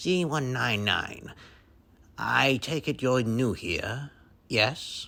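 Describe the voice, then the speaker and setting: Using a put-on character voice at medium pitch, a man speaks at a very slow pace with long, frequent pauses. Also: ordinary pitch variation. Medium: read story. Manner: terse.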